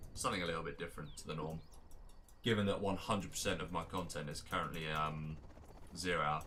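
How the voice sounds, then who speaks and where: With an English accent and a very deep, low pitch, a man rattles along at a very fast pace, fairly even in intonation, with long, frequent pauses and audible room echo. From England. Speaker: game tournament caster and streamer. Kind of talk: live game commentary mixed with casual chat. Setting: live stream. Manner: casual, with many fillers and repetitions.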